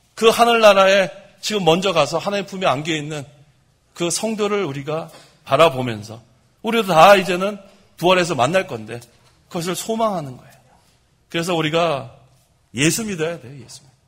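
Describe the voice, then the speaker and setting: A man's high-pitched voice with lively intonation and big swings in loudness, at a fairly quick pace broken by long, frequent pauses, in audible room echo. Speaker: pastor. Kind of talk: sermon. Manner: fast.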